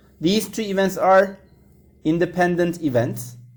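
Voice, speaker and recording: Audible room echo surrounds a man with a high pitch. He talks at a fairly slow pace with ordinary pitch variation. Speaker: math teacher. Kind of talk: lecture.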